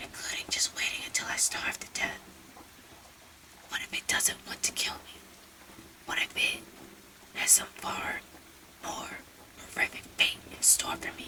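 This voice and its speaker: Whispering at a fairly slow pace, with long, frequent pauses and noticeable background noise. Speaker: storyteller. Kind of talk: reading aloud.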